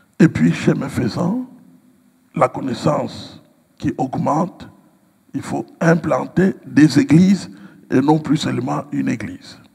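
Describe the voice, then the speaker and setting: Long, frequent pauses break up a man's very slow speech. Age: 60s. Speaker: pastor and writer. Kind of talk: interview. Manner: hesitant, many fillers.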